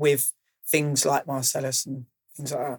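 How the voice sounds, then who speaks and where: In a southern English accent, a man speaks at a moderate pace and fairly high pitch with flat, monotone intonation, the sound dry and close with no echo. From Kent, England (Maidstone). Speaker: DJ and music producer. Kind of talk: interview.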